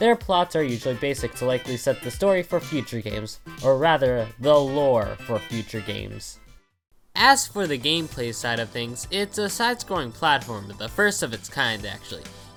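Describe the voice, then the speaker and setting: Someone speaks at a moderate pace while music plays in the background. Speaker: video game reviewer. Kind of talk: video game review narration. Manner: casual.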